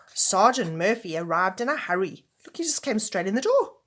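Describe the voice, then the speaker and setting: A woman's warm, gentle tone. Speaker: grandmother reading to children. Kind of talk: children's book read-aloud. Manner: warm, gentle, addressing children.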